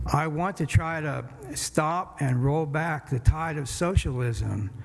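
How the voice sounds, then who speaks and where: A man speaks with a somewhat breathy voice and ordinary pitch variation. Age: 70s. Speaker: city council candidate. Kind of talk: campaign speech. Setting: church event.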